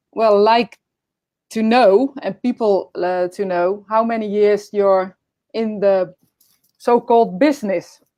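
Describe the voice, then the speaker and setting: With a Dutch accent, a woman speaks at a very slow pace in a medium-pitched, dark, mellow voice, her intonation fairly even and her speech broken by long, frequent pauses. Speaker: podcast host. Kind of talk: casual interview. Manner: halting.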